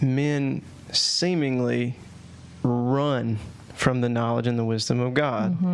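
A man with a Southern US accent, medium-pitched with ordinary pitch variation, at a very slow pace, amid audible room echo and noticeable background noise. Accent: Southern US (Georgia). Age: 30s. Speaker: podcast host. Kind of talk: casual chat. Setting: at home, video podcast.

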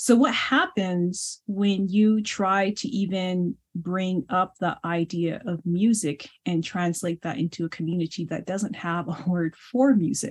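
In a Navajo Nation accent, a woman with a medium pitch speaks at a very slow pace, somewhat breathy, in a dry, close sound with no echo. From US Southwest, Navajo Nation. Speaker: pianist and scholar. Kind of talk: interview conversation.

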